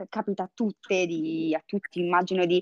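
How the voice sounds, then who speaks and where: Very fast speech comes through a dry, close sound with no echo against a quiet background. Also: woman. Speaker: Instagram creator. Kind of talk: casual chat about dating and sex. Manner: tender when recalling a memory.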